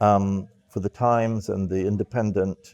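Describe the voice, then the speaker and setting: A man with a British accent, fairly low-pitched and dark and mellow in tone, at a fairly slow pace with fairly even intonation, dry and close with no echo. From England, London (from age nine). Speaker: former press officer and journalist. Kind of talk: interview monologue. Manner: halting, many fillers and repeats.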